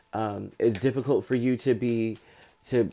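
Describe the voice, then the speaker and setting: Over music in the background, a man with medium pitch talks in a fairly even intonation. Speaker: tarot reader. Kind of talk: tarot reading.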